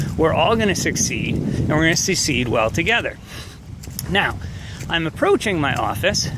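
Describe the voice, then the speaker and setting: With an American accent, a man speaks at a high pitch with very wide pitch swings and very even loudness, leaving long, frequent pauses amid audible room echo and noticeable background noise. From New York. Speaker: chemistry professor. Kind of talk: walking video welcome message to students. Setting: outdoors walking on campus. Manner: fast.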